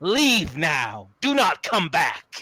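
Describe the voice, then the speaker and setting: A raspy man puts on a character voice with lively intonation. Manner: threatening, warning.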